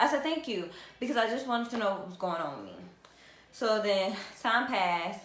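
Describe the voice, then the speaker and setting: Noticeable background noise and audible room echo surround a woman speaking with an American accent. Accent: Southern US accent that comes and goes. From US South, South Carolina. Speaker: vlogger. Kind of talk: casual vlog storytelling. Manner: hesitant, many fillers.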